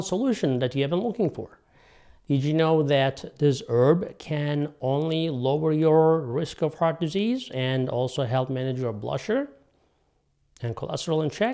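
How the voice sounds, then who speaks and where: An ordinary speaking voice, a man at a moderate pace with a fairly high pitch, on a very clean recording with a silent background. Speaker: doctor presenting health videos. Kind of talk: health explainer monologue.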